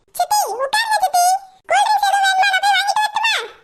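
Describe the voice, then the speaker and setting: A woman puts on a cartoonish character voice, squeaky and extremely high-pitched. She moves at a fairly quick pace with monotone, flat intonation and very even loudness. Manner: flattering, sweet-talking.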